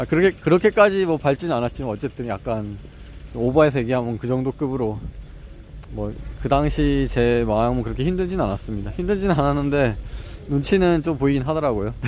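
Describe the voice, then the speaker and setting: A man talking at a fairly quick pace with lively intonation, noticeable background noise behind him. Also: medium pitch for a man. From South Korea, Ulsan (Gyeongsang). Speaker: vlogger studying for exams. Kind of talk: casual vlog monologue. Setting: walking home. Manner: conversational, with fillers.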